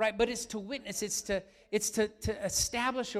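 A man speaks at a moderate pace in an animated tone. His pitch is high. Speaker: pastor. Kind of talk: sermon.

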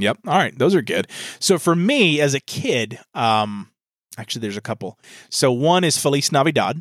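Using an ordinary speaking voice, a man talks at a moderate pace and a fairly high pitch with lively intonation. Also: dry, close sound with no echo. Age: 30s. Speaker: podcast host. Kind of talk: casual chat.

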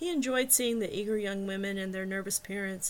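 The delivery is an unforced reading voice, its pitch varying in an ordinary way.

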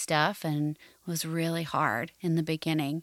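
Soft-spoken and fairly slow, a woman talks with an American accent in a dry, close sound with no echo. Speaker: podcast host, counselor. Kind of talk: personal testimony. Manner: soft, calm voice for guided prayers.

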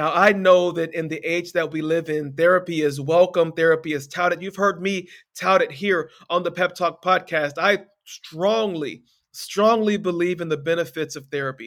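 Speaking at a moderate pace, a man uses a high pitch and an animated tone. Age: 40s. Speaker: life coach, podcast host. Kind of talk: motivational podcast monologue.

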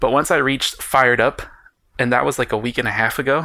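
A man is speaking. His tone sounds bright and sharp. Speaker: book podcast host. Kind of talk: casual solo podcast. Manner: fast; animated.

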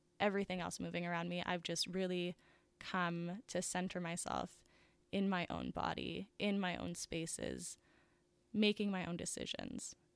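Recorded very cleanly with a silent background, a woman speaks at a moderate pace. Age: 20s. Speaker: podcast host. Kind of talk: solo casual monologue.

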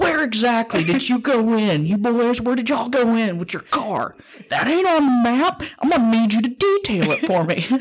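A woman uses a put-on character voice with a high pitch and very wide pitch swings, at a moderate pace. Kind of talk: colloquial. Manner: stern, authoritative.

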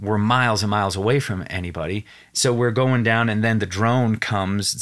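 A man with an American accent and a normal speaking voice, fairly low-pitched, at a moderate pace with fairly even intonation, on a very clean recording with a silent background. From Wyoming, US. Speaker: actor and TV host. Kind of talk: casual interview chat. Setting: studio.

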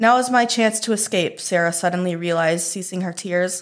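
In a very clean recording with a silent background, a woman talks at a moderate pace with ordinary pitch variation in a plain, everyday voice. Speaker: park ranger podcast host reading horror stories. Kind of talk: ghost story telling, dark spooky campfire tale read aloud; reading aloud.

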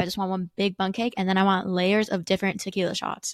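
A woman speaks at a fairly quick pace with a medium pitch and a plain, everyday voice. The recording is very clean and dry, close, with a silent background and no echo. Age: 20s. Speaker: podcast co-host. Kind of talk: casual chat.

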